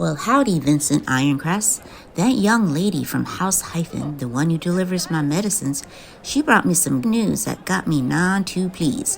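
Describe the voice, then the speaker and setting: A woman drawls in a put-on character voice at a fairly low pitch and moderate pace. Clear background noise sits behind her. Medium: audio drama. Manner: folksy western drawl.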